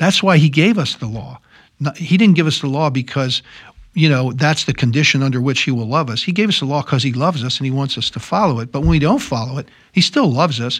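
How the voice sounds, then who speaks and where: Somewhat breathy and fairly high in pitch, a man speaks at a very fast pace with lively intonation. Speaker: Bible discussion panelist. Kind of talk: reading aloud and discussion. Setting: studio.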